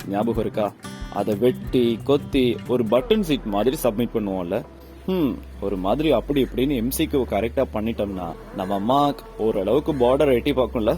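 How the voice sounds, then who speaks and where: Over music in the background, a man talks at a medium pitch with lively intonation. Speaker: podcaster. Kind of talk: humorous podcast monologue. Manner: casual, conversational.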